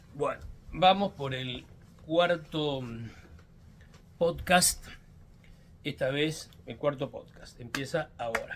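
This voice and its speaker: In a Mendoza accent, a man with a fairly high pitch speaks at a very slow pace in a somewhat breathy voice, with ordinary pitch variation, long, frequent pauses and big swings in loudness. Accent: Mendoza Argentine Spanish. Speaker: politician. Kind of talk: podcast monologue. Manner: hesitant, with fillers.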